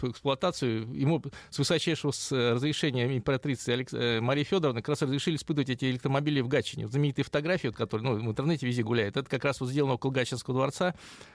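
This man speaks at a very fast pace and a medium pitch. The recording is very clean, with a silent background. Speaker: automotive history expert. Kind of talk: interview.

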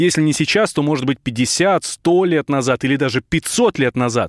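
Lively in intonation, a man with a fairly high pitch uses an ordinary speaking voice, recorded with a dry, close sound and no echo. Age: 30s. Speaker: radio host. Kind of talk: radio discussion.

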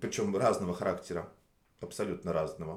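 Pitch moves in very wide swings. Vocal fry is present in the voice. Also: man. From Russia, Nizhny Novgorod. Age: 30s. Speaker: waiter. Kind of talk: casual interview chat. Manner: hesitant, many fillers.

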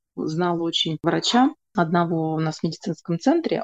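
In a dry, close sound with no echo, a woman speaks with a fairly low pitch and a dark, mellow tone. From Russia, Moscow. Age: 30s. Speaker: astrologer. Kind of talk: casual interview. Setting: video call.

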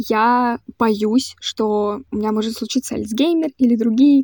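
A woman's fairly high-pitched voice with a dark, mellow tone and fairly even intonation comes through with a dry, close sound and no echo. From Central Russia, Voronezh. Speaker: podcast host. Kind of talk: personal monologue podcast.

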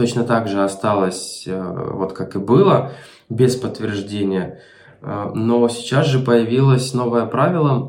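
A man speaks at a very slow pace with ordinary pitch variation. Noticeable background noise and audible room echo surround his voice. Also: medium pitch for a man. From Ukraine, Melitopol. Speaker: remote marketing specialist. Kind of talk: interview.

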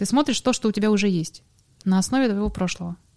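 A woman with an ordinary speaking voice talks at a medium pitch with ordinary pitch variation. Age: 30s. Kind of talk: casual chat.

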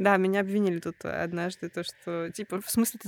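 A woman talks at a very fast pace. The sound is dry and close, with no echo. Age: 30s. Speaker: podcast host. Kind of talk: casual chat.

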